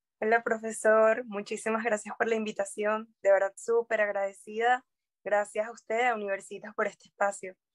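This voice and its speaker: In a dry, close sound with no echo, a woman speaks at a moderate pace with a fairly high pitch and monotone, flat intonation. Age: 20s. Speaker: human rights lawyer. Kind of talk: interview. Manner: hesitant with fillers.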